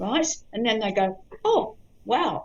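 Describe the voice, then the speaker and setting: Very wide pitch swings in a woman's voice. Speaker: psychic medium. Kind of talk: interview chat. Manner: slow.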